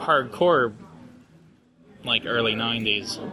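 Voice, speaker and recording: Noticeable background noise fills the recording. Through it, a man talks at a medium pitch with ordinary pitch variation. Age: 20s. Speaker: podcast co-host. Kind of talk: casual chat. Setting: hotel lobby at a convention, live recording.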